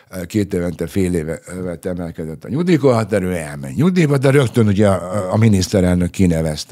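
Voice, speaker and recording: A man with a very deep, low voice. He talks at a fairly quick pace with lively intonation. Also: hardly any pauses, quiet background. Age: 60s. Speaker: retired police spokesman. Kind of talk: interview. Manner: hesitant, many fillers. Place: studio. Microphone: studio mic.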